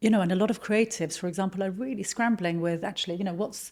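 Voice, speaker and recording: In a British accent, a woman speaks very fast, her voice somewhat breathy. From Lebanon, moved to UK at twelve. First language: Arabic and French. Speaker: marketing executive. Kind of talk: podcast interview.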